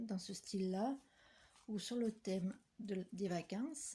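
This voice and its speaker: At a very slow pace, a woman with a medium pitch and ordinary pitch variation speaks in a somewhat breathy, dark, mellow tone. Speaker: papercraft vlogger. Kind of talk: casual vlog chat. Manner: soft-spoken; hesitant with fillers. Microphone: no microphone, too quiet.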